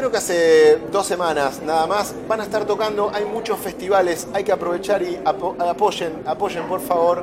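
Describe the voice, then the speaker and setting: A man with a Rioplatense accent, high pitch, ordinary pitch variation and moderate pace, against noticeable background noise. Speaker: radio host. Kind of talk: radio music show presenting.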